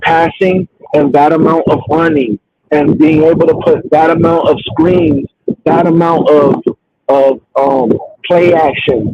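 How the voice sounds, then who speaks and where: A man's fairly high voice at a fairly slow pace, with fairly even intonation and a dry, close sound with no echo. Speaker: podcast host. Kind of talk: casual chat.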